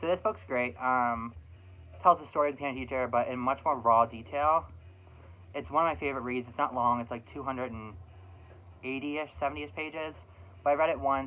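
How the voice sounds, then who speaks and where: Music plays in the background as a man speaks at a fairly quick pace. His medium-pitched voice has lively intonation. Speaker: vlogger. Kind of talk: casual chat. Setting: home room. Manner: fast.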